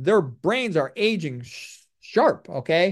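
Lively intonation marks this high-pitched man's speech over a quiet background. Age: 60s. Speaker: physician. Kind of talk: lecture. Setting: video call.

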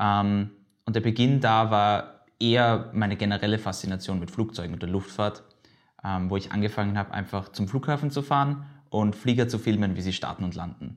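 A man with an unremarkable speaking voice and a fairly low pitch talks with ordinary pitch variation, the recording very clean and the background silent. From Austria, Vienna. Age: 20s. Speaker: aviation video blogger and student. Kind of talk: casual interview. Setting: studio / office table.

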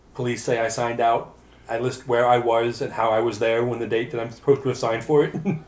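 Speaking very fast, a man with a medium pitch keeps a monotone, flat intonation. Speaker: tabletop roleplaying player. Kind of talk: tabletop roleplaying game session, casual banter.

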